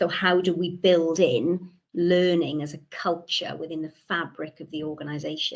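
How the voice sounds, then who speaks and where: With a Welsh accent, a woman speaks in a fairly low pitch with fairly even intonation. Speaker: webinar guest speaker. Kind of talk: presentation. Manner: frequent word repetitions.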